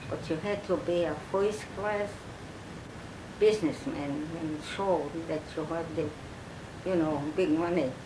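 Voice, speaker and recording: The delivery is fairly slow, with long, frequent pauses and ordinary pitch variation. Noticeable background noise is present. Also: woman, fairly low pitch for a woman. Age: old. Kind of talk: oral history interview. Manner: hesitant, halting.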